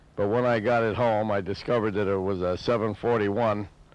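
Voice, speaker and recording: A man speaks in a plain, everyday voice, at a moderate pace and with fairly even intonation. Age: 60s. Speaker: motorcycle restorer. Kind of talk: interview testimony.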